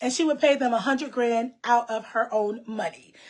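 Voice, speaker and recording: A woman speaks loudly. Her pitch varies in an ordinary way. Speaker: online show host. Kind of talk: casual chat.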